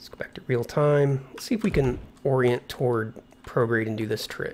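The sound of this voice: Here a man speaks at a moderate pace and medium pitch. His tone is slightly mellow, with ordinary pitch variation.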